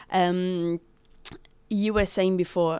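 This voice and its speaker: A woman talks fairly slowly in a fairly low voice with an Italian accent. The recording is very clean, with a silent background. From Rome, Italy. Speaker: brand ambassador, former bartender. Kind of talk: casual interview.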